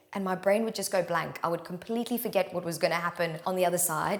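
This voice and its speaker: A woman's voice over noticeable background noise. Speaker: yoga teacher. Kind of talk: casual talk to camera. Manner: loud; fast.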